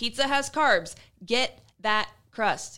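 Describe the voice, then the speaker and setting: A woman's raised, projected voice, high-pitched with a bright, sharp tone, on a very clean recording with a silent background. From Iowa. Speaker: fitness and nutrition podcast co-host. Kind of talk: casual chat.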